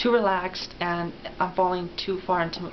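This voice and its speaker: Noticeable background noise and audible room echo are present. A woman speaks at medium pitch and a moderate pace. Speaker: transgender woman, voice therapy client. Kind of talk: interview. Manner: hesitant, many fillers.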